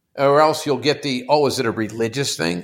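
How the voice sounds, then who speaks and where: On a very clean recording with a silent background, a man with an American accent has an unremarkable speaking voice, a moderate pace and ordinary pitch variation. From Pittsburgh, US. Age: 60s. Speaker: company CEO. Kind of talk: casual chat.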